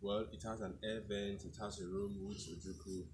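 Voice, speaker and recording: A somewhat breathy man with a fairly low pitch at a fairly slow pace, over noticeable background noise. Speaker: tourism vlogger. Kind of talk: casual tour commentary. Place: open country. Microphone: camera far.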